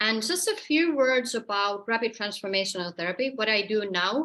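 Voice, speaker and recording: Against a quiet background, a woman with a Finnish accent speaks at a fairly high pitch and moderate pace in a bright, sharp tone. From Finland. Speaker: therapist and energy healer. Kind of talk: online presentation. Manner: halting.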